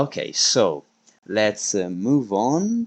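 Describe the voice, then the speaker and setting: A man with an Italian accent speaks at a medium pitch against a quiet background. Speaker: esports league stream host. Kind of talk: live stream commentary. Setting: live stream. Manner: halting, many fillers.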